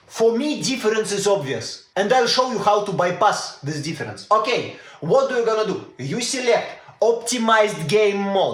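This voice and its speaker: A man's high voice with a Russian accent and lively intonation, amid noticeable background noise and audible room echo. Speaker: tech YouTuber. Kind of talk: tutorial. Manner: casual, hesitant with fillers.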